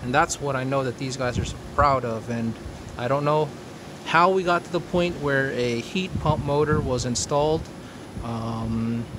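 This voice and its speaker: Noticeable background noise sits behind a man's medium-pitched voice. He speaks at a moderate pace with ordinary pitch variation. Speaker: homeowner video blogger. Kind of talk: casual video walkthrough.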